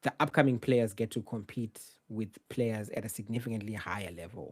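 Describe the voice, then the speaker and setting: A man speaks with a Zimbabwean accent. His pitch sits in the medium range. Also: very clean recording, silent background. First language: Shona. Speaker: journalist. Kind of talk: live Q&A stream. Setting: live stream, solo home setup. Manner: casual.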